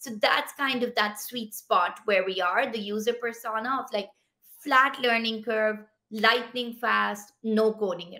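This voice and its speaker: With a bright, sharp tone, a woman speaks at a fairly slow pace and fairly even intonation over a quiet background. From Pakistan. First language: Pashto. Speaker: tech startup founder. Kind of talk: interview. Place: home room.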